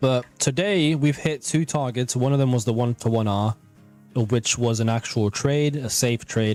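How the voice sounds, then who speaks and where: Over music in the background, the speech moves at a very slow pace with ordinary pitch variation. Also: man. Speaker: trading streamer teaching trading. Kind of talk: live trading stream commentary. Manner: casual, conversational.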